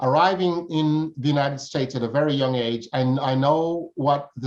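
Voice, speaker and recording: The speaker uses a normal speaking voice at a fairly slow pace. The intonation stays fairly even. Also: man. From Jamaica, raised in Brooklyn, New York. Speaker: tolerance education advocate. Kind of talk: interview.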